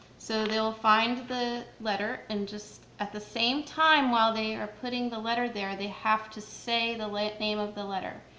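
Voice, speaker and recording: A woman with a fairly high voice talks at a moderate pace in a flat monotone, hardly pausing, with audible room echo and noticeable background noise. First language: not Arabic. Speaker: Quran teacher for children. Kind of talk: tutorial. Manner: hesitant with fillers.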